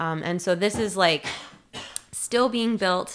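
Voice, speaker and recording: A woman with a Canadian accent talks in an ordinary speaking voice at a medium pitch, her intonation fairly even. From Ontario, Canada (outside Toronto). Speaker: city community engagement coordinator. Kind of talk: casual interview.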